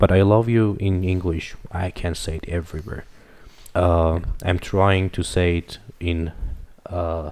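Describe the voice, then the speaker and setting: A man speaks with a very deep, low pitch and monotone, flat intonation at a fairly slow pace, leaving long, frequent pauses. The recording is very clean, with a silent background. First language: Farsi. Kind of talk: casual chat. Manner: halting.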